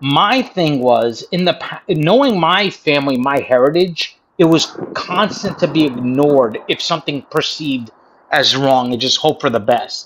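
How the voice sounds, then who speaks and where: Light background noise sits behind a man with an American accent whose fairly high voice moves at a fairly slow pace with lively intonation. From United States. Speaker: livestream chat participant. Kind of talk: casual chat. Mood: defensive, earnest. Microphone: video call.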